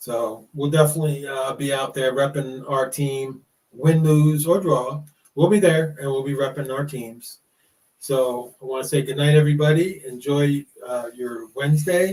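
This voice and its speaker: Speaking with an American accent, a man has a fairly high, somewhat breathy voice. He keeps a moderate pace and fairly even intonation. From United States. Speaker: podcast host. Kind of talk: casual chat. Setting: live stream. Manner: halting, many fillers.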